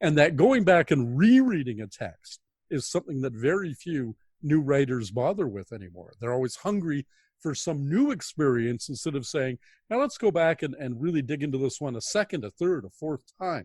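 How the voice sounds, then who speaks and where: A man with a Canadian accent speaks in a somewhat breathy, fairly high voice with lively intonation, in a very clean recording with a silent background. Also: moderate pace, dry, close sound with no echo. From Canada, Toronto. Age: 60s. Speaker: science fiction author. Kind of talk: interview.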